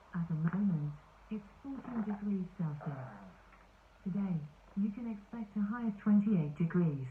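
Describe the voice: A woman at medium pitch speaks at a moderate pace with lively intonation, her voice robotic and processed.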